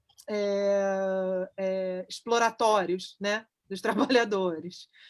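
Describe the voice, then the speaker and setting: Very slow and flat in a monotone, a woman's medium-pitched voice comes through on a very clean recording with a silent background. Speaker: philosopher giving a talk. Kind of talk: Q&A discussion after a lecture. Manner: halting, many repetitions.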